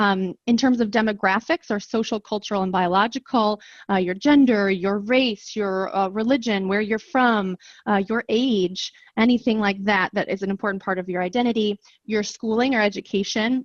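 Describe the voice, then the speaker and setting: In an ordinary speaking voice with an American accent, a woman speaks at medium pitch and a moderate pace with fairly even intonation, recorded dry and close with no echo against a quiet background. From rural US. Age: 30s. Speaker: professor. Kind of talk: workshop instruction.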